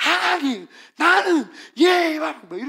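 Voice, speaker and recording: The put-on character voice sits high in pitch and swings very widely up and down. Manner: odd, high-toned prayer.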